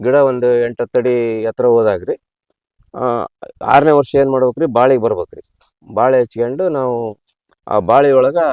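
A man's medium-pitched voice with fairly even intonation, dry and close with no echo. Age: 60s. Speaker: farmer. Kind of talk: interview.

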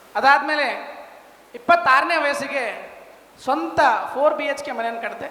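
Over noticeable background noise and audible room echo, a man with extremely high pitch projects a raised voice with big swings in loudness and ordinary pitch variation. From India, Bijapur, northern Karnataka. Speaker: construction business owner, civil engineer. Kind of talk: testimonial speech.

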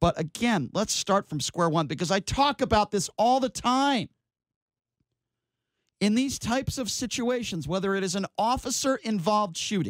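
A man speaks with lively intonation at a moderate pace. The sound is dry with no echo, and the background is quiet. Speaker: radio show host. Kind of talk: talk radio commentary. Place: studio.

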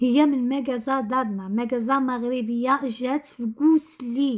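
The intonation stays fairly even against a quiet background. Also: woman. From Morocco, Tangier; Morocco. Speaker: lifestyle vlogger. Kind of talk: casual vlog narration. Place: kitchen.

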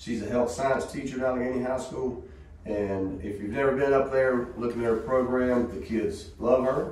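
Speaking in a Southern US accent, the voice moves at a moderate pace with lively intonation, accompanied by light background noise and audible room echo. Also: man. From US South. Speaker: school superintendent. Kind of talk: board meeting report and recognitions. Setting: school board meeting room. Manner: casual and folksy. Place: meeting room. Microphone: camera far.

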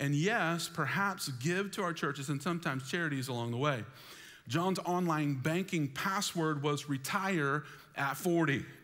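Against a quiet background, a man's voice carries a bright, sharp tone with ordinary pitch variation. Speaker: pastor. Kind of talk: sermon. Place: church.

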